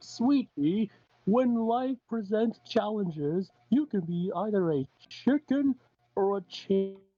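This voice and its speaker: This is a put-on character voice pitched fairly high. The delivery moves at a fairly slow pace. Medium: read story. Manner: serious-like.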